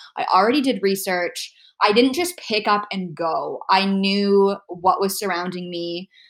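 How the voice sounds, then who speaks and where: On a very clean recording with a silent background, a woman with a Canadian accent speaks at a fairly slow pace in an ordinary speaking voice. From Canada, Toronto. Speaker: podcast guest living with immune deficiency. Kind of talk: casual interview chat.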